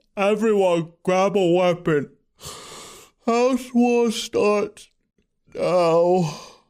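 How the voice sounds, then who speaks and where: Using a put-on character voice at a high pitch, a man talks at a very slow pace with long, frequent pauses and ordinary pitch variation, in a very clean recording with a silent background. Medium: read story. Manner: languid.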